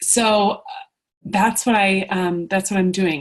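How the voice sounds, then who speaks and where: Speaking at a medium pitch with ordinary pitch variation, the woman sounds somewhat breathy. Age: 30s. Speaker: fitness coach. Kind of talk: sales pitch. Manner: fast; animated.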